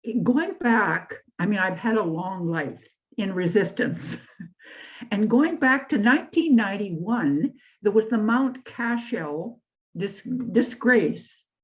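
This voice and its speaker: A woman's somewhat breathy, fairly high voice with a Canadian accent, very wide pitch swings and a very slow pace. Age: 80s+. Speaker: activist and writer. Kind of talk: talk. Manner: halting.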